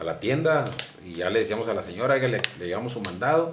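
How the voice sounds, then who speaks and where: A man with a northern Mexican accent speaks very fast at a medium pitch with lively intonation. Audible room echo and noticeable background noise surround his voice. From northern Mexico, Chihuahua (mining town near Camargo). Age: 50s. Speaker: former footballer and sportscaster. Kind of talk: interview.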